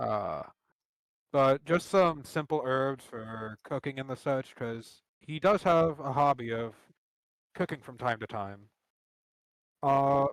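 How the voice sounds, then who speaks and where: Very slow, quiet speech with ordinary pitch variation and a dry, close sound free of echo. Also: man. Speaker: tabletop role-player. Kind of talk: role-play description during live game. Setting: live stream.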